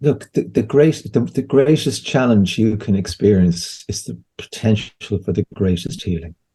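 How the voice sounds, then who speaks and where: A man with an Irish accent, fairly low in pitch, dark and mellow in tone, with vocal fry, lively intonation, a moderate pace and hardly any pauses. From Ireland. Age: 60s. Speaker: homeopath and therapist. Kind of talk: interview conversation. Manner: halting, with frequent repetitions.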